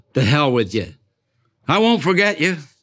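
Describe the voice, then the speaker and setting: A man's voice makes very wide pitch swings on a very clean recording with a silent background. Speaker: poet. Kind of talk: poetry performance. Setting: restaurant with live audience. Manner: terse, stark.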